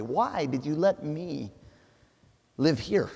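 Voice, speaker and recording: A man with an American accent and a fairly high pitch talks at a very slow pace. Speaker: missionary preacher. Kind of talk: sermon. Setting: church. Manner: halting, searching for words.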